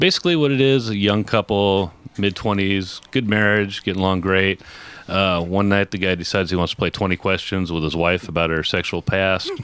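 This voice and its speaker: A man speaks in a very deep, low pitch at a moderate pace. His loudness stays very even and his intonation fairly even. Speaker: stand-up comic and filmmaker. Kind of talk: casual chat.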